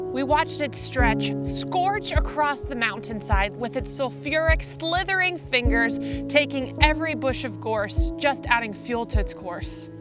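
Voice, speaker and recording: Over background music, the speaker moves at a fairly slow pace with hardly any pauses. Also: woman. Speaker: spoken word poet. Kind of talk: spoken word poetry performance. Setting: outdoors.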